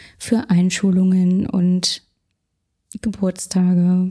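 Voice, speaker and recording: The voice is somewhat breathy. Its tone is dark and mellow. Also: woman. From Berlin, Germany. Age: 20s. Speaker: food photographer. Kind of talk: casual interview.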